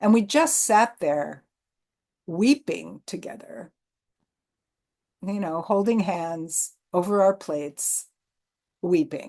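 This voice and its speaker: The voice has a dark, mellow tone and very wide pitch swings. It moves at a very slow pace, broken by long, frequent pauses. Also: woman, medium pitch for a woman. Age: 70s. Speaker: theater artist. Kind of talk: interview. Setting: video call. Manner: halting.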